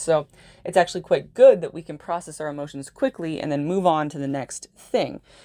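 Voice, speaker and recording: Animated and fairly quick, a woman speaks with a fairly low pitch. The recording is very clean, with a silent background. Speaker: astrologer. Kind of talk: monologue video. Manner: fast.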